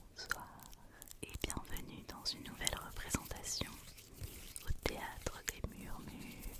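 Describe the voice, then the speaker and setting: A woman whispers at a very slow pace with long, frequent pauses against noticeable background noise. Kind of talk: ASMR whisper video with movie review talk to camera. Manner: whispered, soft-spoken.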